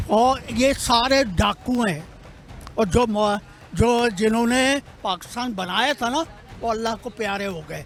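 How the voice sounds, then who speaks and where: Music plays in the background as a man speaks at an extremely high pitch with ordinary pitch variation. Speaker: passerby. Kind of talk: street interview. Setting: outdoors. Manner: animated.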